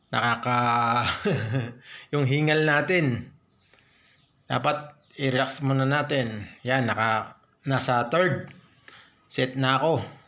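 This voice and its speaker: A man at a very slow pace with long, frequent pauses, medium pitch, fairly even intonation, very even loudness and a bright, sharp tone, plus audible room echo. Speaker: stroke survivor vlogger. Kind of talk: motivational vlog narration during exercise.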